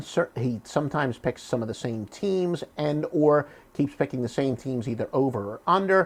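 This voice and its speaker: Speaking with a Philadelphia accent, a man keeps a moderate pace and lively intonation. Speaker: sports handicapper. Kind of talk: promotional monologue. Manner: drops h in words like human.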